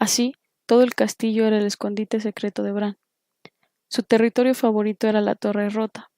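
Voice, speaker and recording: A woman talks at a moderate pace in a fairly high pitch, her tone dark and mellow. Her intonation stays monotone and flat, and the sound is dry and close with no echo. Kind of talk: audiobook reading.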